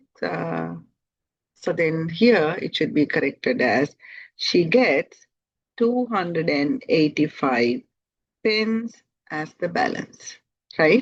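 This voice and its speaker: A woman speaks at a very slow pace and a fairly low pitch, with very wide pitch swings. The sound is dry and close, with no echo. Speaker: math teacher. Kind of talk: lesson.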